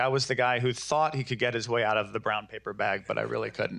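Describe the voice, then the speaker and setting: Against a quiet background, a man with an American accent speaks in a bright, sharp tone with monotone, flat intonation. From US Northeast. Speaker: business owner. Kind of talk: panel discussion. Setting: stage with audience.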